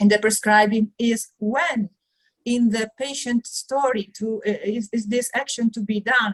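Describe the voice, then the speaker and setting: Fairly slow, somewhat breathy speech from a woman with an Italian accent, fairly high pitch, fairly even intonation, and a dry, close sound with no echo. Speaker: conference attendee asking question. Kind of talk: audience question. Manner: halting.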